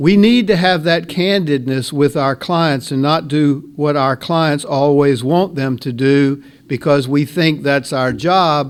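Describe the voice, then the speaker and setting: Very slowly, a man delivers his words with ordinary pitch variation. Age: 60s. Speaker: lawyer. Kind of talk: CLE ethics talk.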